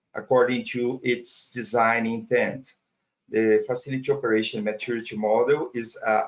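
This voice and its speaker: This man has a Portuguese accent and a medium pitch. He talks at a fairly slow pace with fairly even intonation. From Brazil. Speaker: data center operations trainer. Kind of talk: technical webinar presentation. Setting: online webinar. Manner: halting, with fillers and repetitions.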